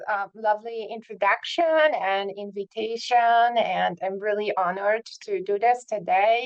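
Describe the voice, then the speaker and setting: In a Polish accent, a woman speaks very slowly at a medium pitch in a monotone, flat intonation, with a dry, close sound and no echo. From southern Poland. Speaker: psychiatry professor. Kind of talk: lecture. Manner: hesitant, many fillers.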